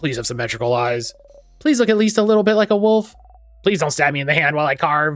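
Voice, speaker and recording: Putting on a character voice, a man mumbles at a very fast pace, his fairly high pitch making very wide swings. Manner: mumbling under the breath, muttered half to oneself.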